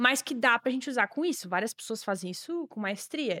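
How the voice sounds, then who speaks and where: Recorded very cleanly against a silent background with a dry, close sound, a woman talks at a very fast pace with lively intonation. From Brazil, Santa Catarina (Joinville). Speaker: online English course creator. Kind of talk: casual chat.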